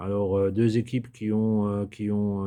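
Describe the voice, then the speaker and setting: In a dark, mellow tone, a man with a fairly low pitch talks at a fairly slow pace. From Alsace, France. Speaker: sports betting tipster. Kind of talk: casual tutorial-style monologue. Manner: hesitant, many filler sounds.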